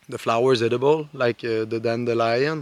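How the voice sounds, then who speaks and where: Speech in a Quebec accent moves at a fairly slow pace with ordinary pitch variation. The sound is dry and close with no echo. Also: man. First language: French. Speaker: outdoor lifestyle vlogger. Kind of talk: casual tutorial. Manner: hesitant, many fillers.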